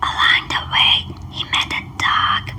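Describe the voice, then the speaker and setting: A woman whispers in a soothing tone. Noticeable background noise sits behind her. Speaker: ASMR creator. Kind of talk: whispered bedtime storytelling (ASMR). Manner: whispered, soft-spoken, soothing.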